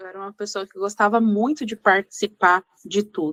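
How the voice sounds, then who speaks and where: A woman at medium pitch talks at a moderate pace with ordinary pitch variation and a bright, sharp tone, recorded dry and close with no echo. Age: 20s. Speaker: youth ministry lay advisor. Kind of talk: podcast interview, personal testimony.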